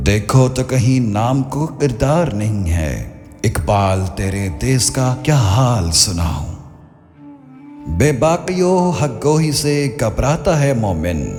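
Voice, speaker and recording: Over music in the background, a man at a medium pitch makes very wide pitch swings. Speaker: voice actor. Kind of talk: poetry reading. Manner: soulful, emotional.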